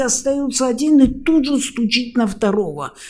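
A woman with a dark, mellow tone. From Austria. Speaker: university lecturer and interpreter. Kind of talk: interview. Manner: animated.

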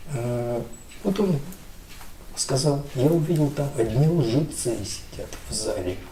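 With lively intonation and a fairly high pitch, a man speaks very slowly, leaving long, frequent pauses. Room echo is audible. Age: 60s. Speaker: businessman, telecom company head. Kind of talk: conversational interview.

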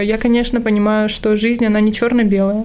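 A woman's fairly high-pitched voice in monotone, flat intonation at a moderate pace, with noticeable background noise and audible room echo. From Russia, Irkutsk. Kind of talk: casual interview chat.

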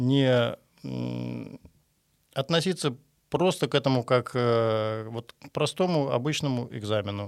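A man speaks in a medium pitch with ordinary pitch variation. The recording is very clean, with a silent background. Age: 60s. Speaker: construction qualification examiner. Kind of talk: interview. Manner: halting.

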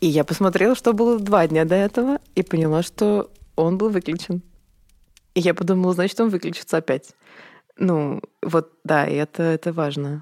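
A woman's fairly low, dark, mellow voice with ordinary pitch variation, very even loudness and long, frequent pauses, in a dry, close sound with no echo. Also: moderate pace. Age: 30s. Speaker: event producer. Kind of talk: casual chat.

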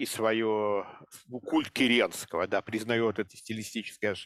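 A man with a normal speaking voice talks at a medium pitch and moderate pace, the sound dry and close with no echo. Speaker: literary scholar. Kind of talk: casual chat. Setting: video call. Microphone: poor sound quality.

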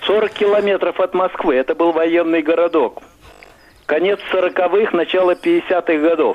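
Amid noticeable background noise, a man with a high pitch speaks at a very slow pace. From Russia, Moscow region. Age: old. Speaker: caller. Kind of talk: casual phone chat.

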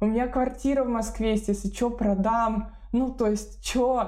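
A woman's fairly high voice holds fairly even intonation while noticeable noise lingers behind her. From Moscow region, Russia. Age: 30s. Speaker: relocation consultant and blogger. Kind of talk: casual interview.

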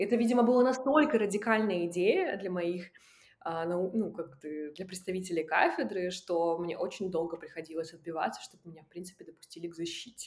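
This woman has an unremarkable speaking voice, medium in pitch, with ordinary pitch variation. She talks at a fairly quick pace, and her loudness swings widely. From Russian Far East. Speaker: film festival curator and documentary director. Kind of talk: casual interview.

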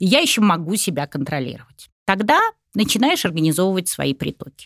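At a moderate pace, the voice moves through very wide pitch swings in a dry, close sound with no echo. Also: woman. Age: 60s. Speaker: psychologist and business consultant. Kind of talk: casual chat.

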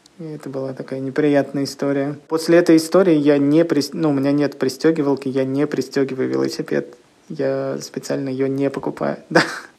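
A man's fairly high voice, monotone with flat intonation, at a moderate pace amid noticeable background noise. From Russia, Leningrad Oblast (Kirishi). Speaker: comics publisher. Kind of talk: interview.

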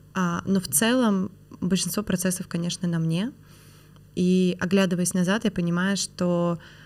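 Intonation stays fairly even while the pace remains fairly slow. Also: woman. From Perm, Russia. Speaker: franchising expert and business founder. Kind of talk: casual interview conversation.

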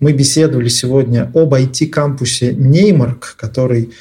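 At a very slow pace, a man speaks at medium pitch in a dark, mellow tone that is somewhat breathy. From Nizhny Novgorod, Russia. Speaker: podcast host. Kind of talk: interview.

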